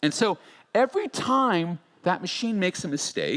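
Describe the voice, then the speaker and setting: A man with an American accent, fairly high in pitch with very wide pitch swings, at a fairly slow pace. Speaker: futurist keynote speaker. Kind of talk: conference keynote.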